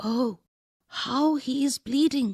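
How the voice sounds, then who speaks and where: A woman whispers in a put-on character voice. She is soft-spoken throughout. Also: dry, close sound with no echo. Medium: read story. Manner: soft-spoken, whispering.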